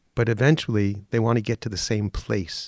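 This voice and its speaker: In a normal speaking voice with an American accent, a man talks at a moderate pace with a fairly low pitch and fairly even intonation, in a dry, close sound with no echo. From New York, Mount Vernon near the Bronx. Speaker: drama teacher. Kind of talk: interview.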